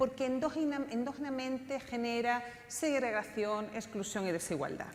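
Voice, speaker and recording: A woman with a non-native accent speaks at a fairly quick pace with ordinary pitch variation. Room echo is audible. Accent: foreign (non-Chilean) Spanish. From outside Chile (Spanish-speaking country). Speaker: political scientist, panel speaker. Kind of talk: conference talk.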